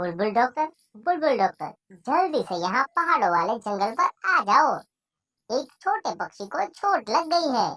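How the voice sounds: A female-sounding cartoonish character voice, fairly high in pitch, with very wide pitch swings. The pace is moderate.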